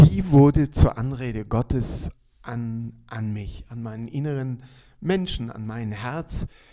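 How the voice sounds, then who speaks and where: A man at medium pitch with a dark, mellow tone, very slow pace, ordinary pitch variation and big swings in loudness. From Ostwestfalen, near Bielefeld, Germany. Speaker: city missionary pastor, former missionary. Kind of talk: interview.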